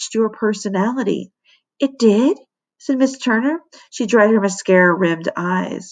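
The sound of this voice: The background stays quiet behind a reading voice that sounds unforced.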